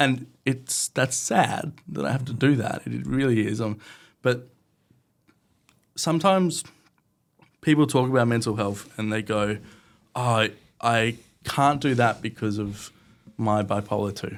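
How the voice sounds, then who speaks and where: In an Australian accent, a man speaks at medium pitch and a fairly slow pace, with ordinary pitch variation and long, frequent pauses. The recording is very clean, with a silent background. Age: 20s. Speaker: podcast guest, marketer. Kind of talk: interview conversation.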